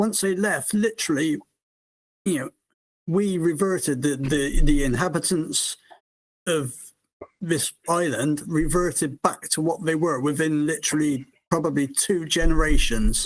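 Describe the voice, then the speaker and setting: Speaking at a fairly slow pace with long, frequent pauses, a man uses a fairly high pitch with ordinary pitch variation. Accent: British. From United Kingdom. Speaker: caller. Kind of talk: casual call-in discussion. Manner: halting, many fillers.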